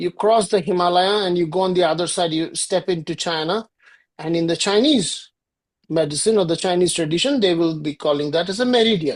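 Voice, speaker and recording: Talking at a fairly quick pace, a woman with a Bengali accent and fairly low pitch shows ordinary pitch variation against a quiet background. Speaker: yoga and ayurveda teacher. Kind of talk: lecture.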